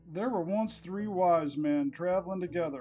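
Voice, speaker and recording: A man with an American accent, high in pitch and fairly slow, with ordinary pitch variation and music in the background. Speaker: narrator. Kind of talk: humorous book reading of folksy quips.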